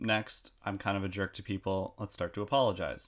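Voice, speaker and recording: A man speaks with a fairly low pitch. It is an ordinary speaking voice. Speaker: podcast host. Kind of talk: casual chat.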